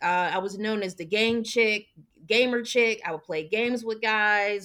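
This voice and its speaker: Her voice is a normal speaking voice, fairly high for a woman, with ordinary pitch variation at a moderate pace. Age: 30s. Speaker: podcast guest. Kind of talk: personal testimony in a casual interview. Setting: remote recording.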